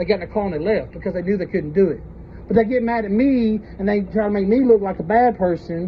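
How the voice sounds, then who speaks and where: A man speaks loudly and very fast in a high voice, his intonation fairly even. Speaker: citizen auditor confronting police. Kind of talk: heated debate. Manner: blunt, argumentative.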